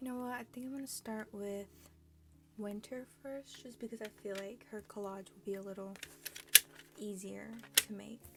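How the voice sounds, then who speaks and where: Amid noticeable background noise, a woman speaks at a medium pitch and moderate pace with fairly even intonation, big swings in loudness and long, frequent pauses. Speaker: crafting vlogger. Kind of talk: casual craft tutorial chat. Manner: monotone.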